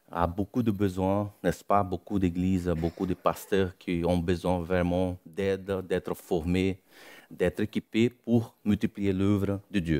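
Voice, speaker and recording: A man's very deep, low voice with a Brazilian accent at a very slow pace, in a very clean recording with a silent background. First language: Portuguese (speaking French). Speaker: missionary preacher. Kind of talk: sermon. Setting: church. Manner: halting.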